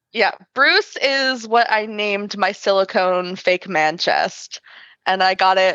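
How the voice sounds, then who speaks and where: A woman with an American accent, medium in pitch with ordinary variation, bright and sharp in tone, very slow and very even in loudness, dry and close with no echo against a quiet background. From Michigan. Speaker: cosplayer. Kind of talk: casual chat.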